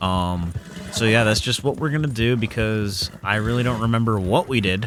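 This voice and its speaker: Over noticeable background noise, a man speaks at a fairly low pitch with very even loudness and ordinary pitch variation. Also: moderate pace. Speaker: gaming let's play creator. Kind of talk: gameplay commentary. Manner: casual, many fillers.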